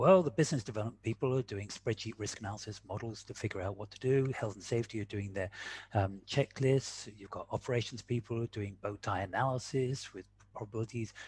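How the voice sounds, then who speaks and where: A man talks at a very fast pace, his somewhat breathy voice swinging widely in loudness over light background noise. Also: medium pitch for a man, ordinary pitch variation, dry sound with no echo. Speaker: quantitative risk analyst and speaker. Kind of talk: webinar presentation. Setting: video call. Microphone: video call.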